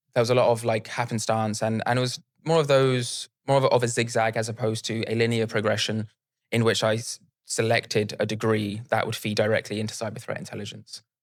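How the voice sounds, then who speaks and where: A man's medium-pitched voice with a British accent at a fairly quick pace, in a very clean recording with a silent background. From UK. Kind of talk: interview.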